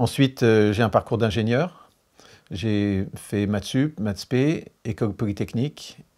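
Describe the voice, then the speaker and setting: At a fairly slow pace, a man with a fairly low pitch speaks in a dark, mellow tone on a very clean recording with a silent background. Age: 60s. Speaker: engineer, energy expert. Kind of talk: interview.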